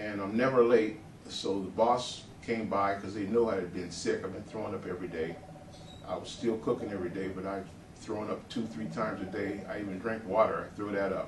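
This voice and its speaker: With fairly even intonation, a man talks amid audible room echo. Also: fairly low pitch for a man, fairly quick pace. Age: 60s. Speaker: patient giving testimonial. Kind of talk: testimony. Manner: hesitant, many fillers.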